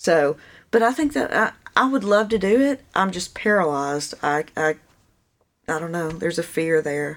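A woman has an unremarkable speaking voice with fairly low pitch. Her intonation is lively and her pace moderate. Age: 40s. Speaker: painter. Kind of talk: casual chat.

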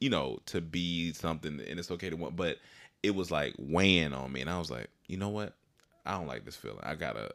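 A man's very deep, low voice with vocal fry, lively intonation and a fairly quick pace. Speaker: comedian and actor. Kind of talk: casual chat. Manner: casual, halting.

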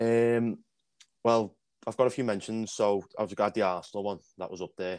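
A man with a normal speaking voice and a fairly low pitch talks at a moderate pace, his intonation fairly even but his loudness swinging widely, in a very clean recording with a silent background. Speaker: podcast co-host. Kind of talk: casual chat.

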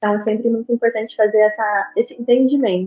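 This woman has a plain, everyday voice. Her fairly high pitch follows a fairly even intonation. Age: 20s. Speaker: psychologist. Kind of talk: interview. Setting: video call. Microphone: remote call audio, varying quality.

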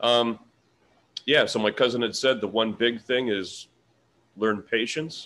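A man speaks at a fairly slow pace, with long, frequent pauses. His medium-pitched voice has a bright, sharp tone and fairly even intonation. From Canada, Ontario (Peterborough). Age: 50s. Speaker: sausage maker and expat business owner. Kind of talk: casual interview.

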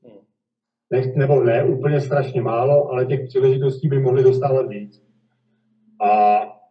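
A man speaks at medium pitch in a somewhat breathy voice. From Czech Republic, Kladno. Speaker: volleyball player. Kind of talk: interview. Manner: halting.

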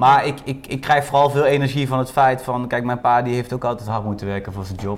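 Background noise is noticeable here. A man speaks fairly quickly over it. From Netherlands, North Brabant. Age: 20s. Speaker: lunchroom owner. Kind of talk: casual chat. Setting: restaurant.

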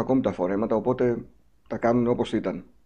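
Very fast speech comes from a man whose tone is dark and mellow. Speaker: podcast host. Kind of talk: interview.

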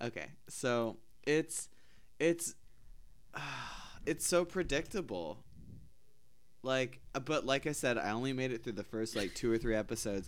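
This man, at a medium pitch, speaks at a moderate pace with lively intonation and an animated tone, leaving long, frequent pauses. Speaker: podcast host. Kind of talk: casual chat. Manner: joking, animated.

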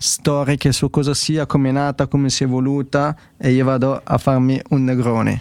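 A man speaks at a moderate pace in a normal speaking voice. His pitch is fairly high. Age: 20s. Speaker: podcast host. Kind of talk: casual technical discussion livestream.

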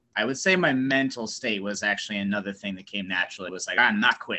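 A man has an ordinary speaking voice at medium pitch with an American accent. His pitch varies in an ordinary way. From US Northeast. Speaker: professional wrestler. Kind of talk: casual chat.

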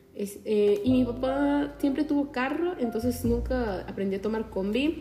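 Speaking fairly slowly, a woman uses a fairly high voice with very wide pitch swings. Noticeable background noise runs behind her. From Peru, Chincha (Ica). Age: young. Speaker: podcaster. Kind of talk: casual monologue. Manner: animated.

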